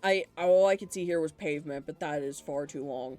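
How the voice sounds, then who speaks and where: Music plays underneath as the speech proceeds at a moderate pace. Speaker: streamer. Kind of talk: casual live stream chat while gaming.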